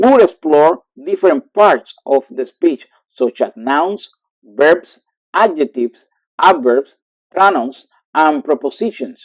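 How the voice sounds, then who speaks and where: Speaking at a very slow pace, a man with a fairly high voice swings his pitch very widely, recorded dry and close with no echo. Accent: Cuban. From Cuba. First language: Spanish. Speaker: language teacher. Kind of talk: lesson tutorial.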